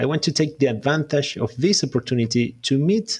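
A man with a Spanish accent speaks at a fairly quick pace in a fairly high, somewhat breathy voice with lively intonation. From Uruguay. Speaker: podcast host, software tester. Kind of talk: scripted podcast intro monologue.

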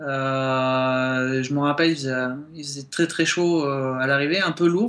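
A man at a fairly slow pace with ordinary pitch variation, against noticeable background noise. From southern France, Montpellier. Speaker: guest. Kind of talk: radio interview.

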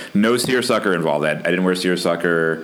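A man talks at a moderate pace in an American accent, with noticeable background noise around him. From US South. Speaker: podcast host. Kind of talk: casual chat.

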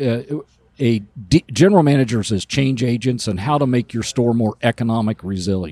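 Captured in a very clean recording with a silent background and a dry, close sound with no echo, a man talks in a normal speaking voice at a medium pitch and moderate pace with ordinary pitch variation. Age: 60s. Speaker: automotive industry consultant. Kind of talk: casual interview. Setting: recording on a bus.

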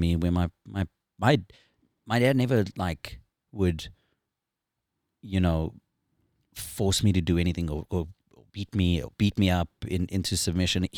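A man with a South African accent speaks at a fairly slow pace, leaving long, frequent pauses, his pitch very deep and low with ordinary variation. The sound is dry and close with no echo, and the recording is very clean over a silent background. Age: 40s. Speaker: former professional motorcycle racer. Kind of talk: casual chat. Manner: joking.

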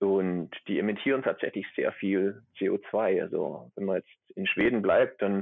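This man talks with a slight Swabian accent. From Swabia, near Stuttgart. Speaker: atmospheric chemist. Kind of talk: casual interview. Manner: hesitant, many fillers.

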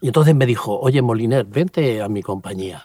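Medium in pitch and moderate in pace, a man talks in a normal speaking voice. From Spain, Valencia region (Puerto de Sagunto). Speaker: pastor and former army helicopter pilot. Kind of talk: interview testimony. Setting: outdoors at a mountain helipad.

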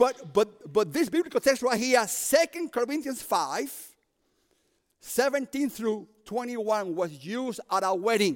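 With a Cuban accent, a man speaks fairly slowly at an extremely high pitch, his voice making very wide pitch swings in a dry, close sound with no echo. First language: Spanish. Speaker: prison ministry preacher. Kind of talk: sermon. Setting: chapel service with audience. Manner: animated.

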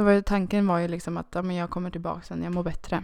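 A woman speaks fairly quickly at a medium pitch with monotone, flat intonation. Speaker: podcast co-host. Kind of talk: casual chat.

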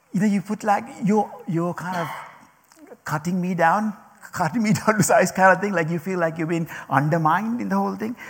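Over noticeable background noise, a man with a non-native accent speaks fairly quickly at a high pitch with ordinary pitch variation. He takes long, frequent pauses. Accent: non-native accent, mocked by former manager. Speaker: speaker addressing a group. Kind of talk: talk to an audience. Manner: halting, many repetitions and fillers.

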